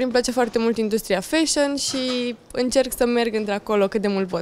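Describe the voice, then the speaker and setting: A woman at a moderate pace, with ordinary pitch variation. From Romania. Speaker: beauty queen and influencer; influencer. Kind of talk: interview. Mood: relaxed, smiling. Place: studio. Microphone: handheld.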